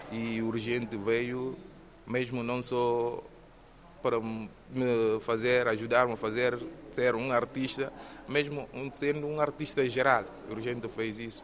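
Long, frequent pauses break up a man's monotone, flat intonation. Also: medium pitch for a man, fairly slow pace. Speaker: theatre trainee and police officer. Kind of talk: interview.

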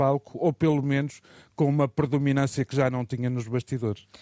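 Dark, mellow tone, dry and close-up, without any echo. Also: man. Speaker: political commentator. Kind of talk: radio commentary. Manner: halting.

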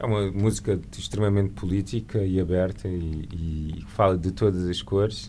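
A dark, mellow tone carries fairly even intonation at a fairly slow pace. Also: man. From Lisbon, Portugal. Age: 40s. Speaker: painter and visual artist. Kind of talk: radio interview.

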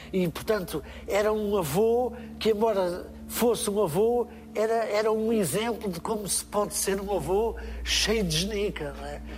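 Audible room echo accompanies fairly slow speech with fairly even intonation. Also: man, high pitch for a man. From Portugal, interior. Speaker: musician and children's entertainer. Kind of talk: live interview. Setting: stage with audience.

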